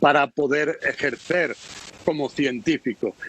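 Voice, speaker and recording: A man speaks at a fairly slow pace, his pitch fairly high. The sound is dry and close, with no echo. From Spain, Melilla. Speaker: foreign correspondent. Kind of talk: interview.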